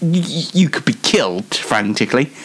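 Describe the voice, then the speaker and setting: Over noticeable background noise, a man with a Yorkshire accent talks at a moderate pace, his pitch swinging very widely. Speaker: online show host. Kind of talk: casual solo show monologue. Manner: halting, many fillers.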